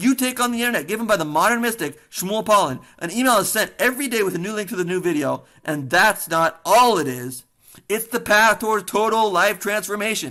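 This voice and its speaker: An animated tone at a fairly quick pace with hardly any pauses, in a very clean recording with a silent background. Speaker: webinar presenter. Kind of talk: sales pitch. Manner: fast.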